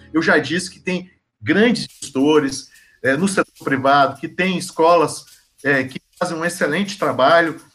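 This is an unremarkable speaking voice from a man with a fairly high pitch. He talks at a fairly slow pace with ordinary pitch variation. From Goiás, Brazil (born in Bahia). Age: 40s. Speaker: philosophy teacher. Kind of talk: interview.

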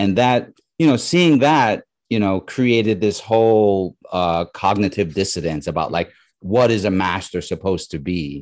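An ordinary speaking voice with an American accent, lively intonation, moderate pace and a quiet background. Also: man, fairly low pitch for a man. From New York. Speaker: comic creator and illustrator. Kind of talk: casual interview chat.

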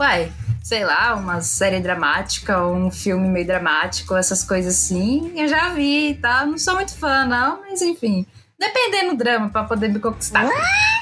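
At a fairly slow pace, a woman speaks with very even loudness over noticeable background noise. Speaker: podcast co-host. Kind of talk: casual chat. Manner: animated.

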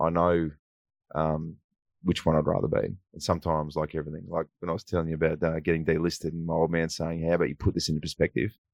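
With an Australian accent, a man talks very fast in a very deep, low voice with a monotone, flat delivery. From country New South Wales, Australia (Wagga Wagga). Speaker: former footballer and TV presenter. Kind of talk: casual interview. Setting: radio studio.

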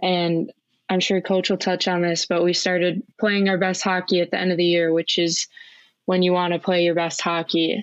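A woman with a Minnesotan accent at a moderate pace, monotone and flat in intonation, with very even loudness. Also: fairly low pitch for a woman. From Minnesota, Twin Cities suburb. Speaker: college hockey player. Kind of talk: casual interview.

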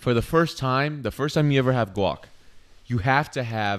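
A man's animated voice at a medium pitch. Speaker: podcast host. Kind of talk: casual chat.

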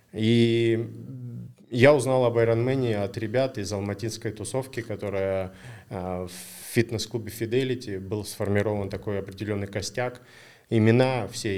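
Recorded very cleanly with a silent background, a man in an ordinary speaking voice talks at a moderate pace with fairly even intonation. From Kazakhstan, Almaty. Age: 40s. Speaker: triathlon race director. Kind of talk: casual chat.

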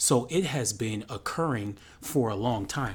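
A man talks in an American accent with lively intonation. His voice is somewhat breathy. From United States. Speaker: podcast co-host. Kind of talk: casual chat.

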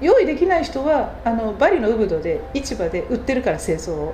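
Over noticeable background noise and audible room echo, the speaker talks at a fairly quick pace with very wide pitch swings. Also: woman. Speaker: culture program manager. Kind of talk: interview. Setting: showroom. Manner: hesitant fillers.

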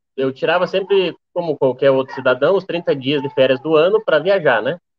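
Speaking at a moderate pace, a man with an ordinary speaking voice and a fairly high pitch uses ordinary pitch variation. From Rio Grande do Sul, Brazil. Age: 20s. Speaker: motorcycle traveler. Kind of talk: casual chat. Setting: live stream from the road.

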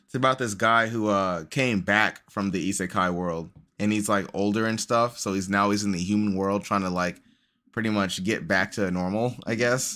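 At a moderate pace, a bright, sharp voice speaks with ordinary pitch variation in a very clean recording with a silent background. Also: man. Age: 30s. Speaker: podcast co-host. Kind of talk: casual chat.

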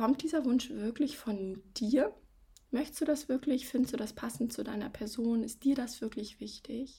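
A woman's high-pitched voice with a dark, mellow, warm tone. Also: moderate pace. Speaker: coach and podcast host. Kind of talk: advice podcast monologue. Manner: warm, direct address to listener.

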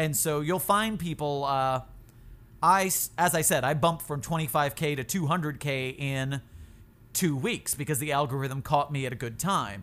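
In an American accent, a man talks with an ordinary speaking voice, a fairly high pitch and ordinary pitch variation. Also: moderate pace, very clean recording, silent background. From Florida. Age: 30s. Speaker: YouTuber and TikToker. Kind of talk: casual chat.

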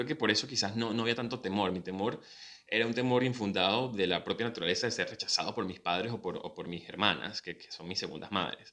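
Talking at a very fast pace, a man has a Venezuelan accent and a bright, sharp tone. His pitch is medium with ordinary variation. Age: 30s. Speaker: podcast host and professional announcer. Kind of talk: casual personal monologue. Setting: video recording.

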